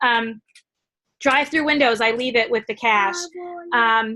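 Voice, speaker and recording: Projecting a raised voice, a woman speaks at a high pitch with ordinary pitch variation. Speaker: network marketing team leader. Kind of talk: training call. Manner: fast.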